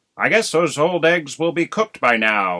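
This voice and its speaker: At a moderate pace, a man performs a put-on character voice pitched fairly high. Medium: read story. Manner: laconic, unhurried.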